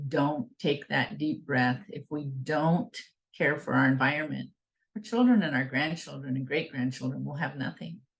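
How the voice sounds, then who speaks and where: A woman's very deep, low voice with vocal fry, lively intonation, and an American accent, at a moderate pace. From Northern California, Klamath River region. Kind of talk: invited talk.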